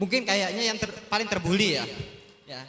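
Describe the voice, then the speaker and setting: Over noticeable background noise, a man with a high pitch uses a raised, projected voice and an animated tone, with ordinary pitch variation. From Sumbawa, West Nusa Tenggara, Indonesia. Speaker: talk show guest, former pesantren student. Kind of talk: talk show addressing students.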